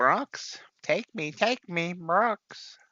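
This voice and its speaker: Someone is shouting in a put-on character voice. The pitch sits in the middle range. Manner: yelling.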